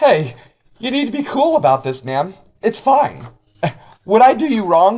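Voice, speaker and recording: A put-on character voice, raspy, with very wide pitch swings and long, frequent pauses at a moderate pace. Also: man, high pitch for a man. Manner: smooth, reassuring, coaxing.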